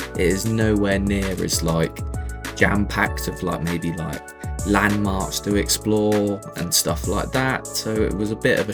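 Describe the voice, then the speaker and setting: Music plays in the background as a man talks at a fairly slow pace. His very deep, low pitch carries lively intonation. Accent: British. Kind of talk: casual travel voice-over. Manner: casual, conversational.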